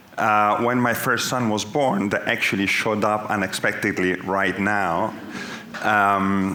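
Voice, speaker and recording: In an Italian accent, a man with a fairly low pitch talks at a fairly slow pace with very even loudness and fairly even intonation, amid noticeable background noise and audible room echo. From Italy. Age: 40s. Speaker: business executive. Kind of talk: onstage interview.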